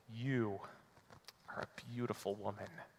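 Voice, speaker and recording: A man puts on a character voice, soft-spoken and mid-pitched, talking at a moderate pace. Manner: soft, romantic, wooing.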